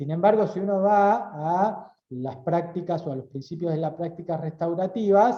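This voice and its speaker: A man's high-pitched voice with a dark, mellow tone, ordinary pitch variation, a fairly slow pace, hardly any pauses and audible room echo. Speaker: lawyer and university lecturer. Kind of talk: lecture. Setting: auditorium talk, also streamed on video call.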